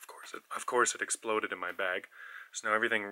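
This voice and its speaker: The man's pace is moderate. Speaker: travel vlogger. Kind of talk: casual vlog chat. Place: home room. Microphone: earbuds.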